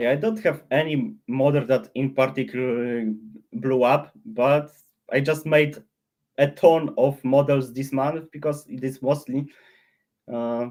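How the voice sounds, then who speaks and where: Speaking with a non-native accent, a man uses a fairly high pitch, ordinary pitch variation and a fairly slow pace. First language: not English. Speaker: AI model creator. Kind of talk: casual interview on livestream. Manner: halting, many restarts.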